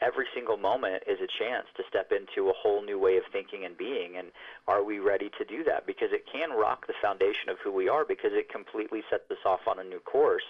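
A man talks at a very fast pace with hardly any pauses. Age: 40s. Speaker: voice actor and author. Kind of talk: interview. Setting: phone call.

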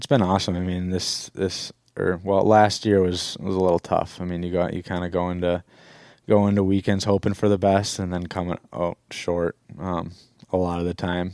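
On a very clean recording with a silent background and a dry, close sound with no echo, a man with an Upper Midwest accent talks at a moderate pace in a very deep, low pitch with monotone, flat intonation. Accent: Upper Midwest (Minnesota). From Minnesota, Stillwater. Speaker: college hockey player. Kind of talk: casual interview. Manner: hesitant, many fillers.

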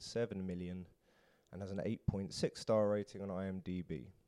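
A man with a British accent speaks in a dark, mellow tone. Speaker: podcast host. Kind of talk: casual interview chat.

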